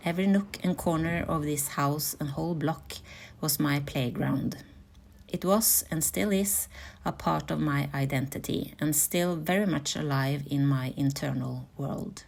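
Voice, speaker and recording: Ordinary pitch variation at a fairly slow pace. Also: woman, very deep, low pitch for a woman. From Norway, Oslo. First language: Norwegian. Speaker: content creator. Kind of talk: reflective narration.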